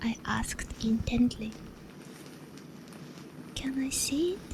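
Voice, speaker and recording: Someone whispers in a gentle tone at a very slow pace. Noticeable background noise is present. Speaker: sleep-story reader. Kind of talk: whispered bedtime story reading. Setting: ASMR close-mic recording. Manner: whispered, soft, gentle.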